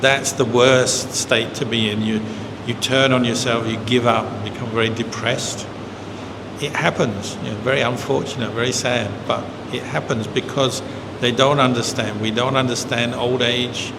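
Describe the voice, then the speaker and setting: Amid noticeable background noise and audible room echo, a man speaks in a monotone with flat intonation. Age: 60s. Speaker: Buddhist monk. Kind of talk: dharma talk Q&A. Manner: conversational.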